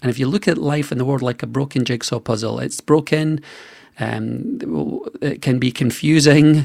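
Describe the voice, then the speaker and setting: With a Scottish accent, a man talks at a moderate pace. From Scotland. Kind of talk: radio interview.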